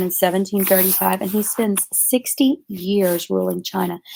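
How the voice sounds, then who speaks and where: A woman speaks at medium pitch and a moderate pace. It is an ordinary speaking voice. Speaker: history teacher. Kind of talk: lecture.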